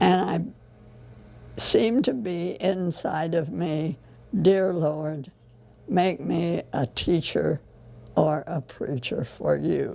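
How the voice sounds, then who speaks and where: A woman with vocal fry and a dark, mellow tone speaks at a very slow pace, using long, frequent pauses and ordinary pitch variation. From US Midwest (Southern Illinois). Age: 90s. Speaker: retired teacher. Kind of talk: oral history interview. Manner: halting, many fillers.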